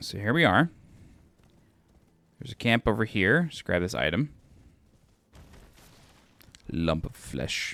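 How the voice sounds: Doing a put-on character voice, a man speaks in a gravelly, fairly low pitch at a moderate pace, with very wide pitch swings, big swings in loudness and long, frequent pauses.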